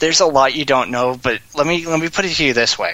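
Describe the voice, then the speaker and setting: Noticeable background noise sits under the recording. A man talks over it with lively intonation. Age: 20s. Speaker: podcast guest, anime and gaming fan. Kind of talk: casual chat.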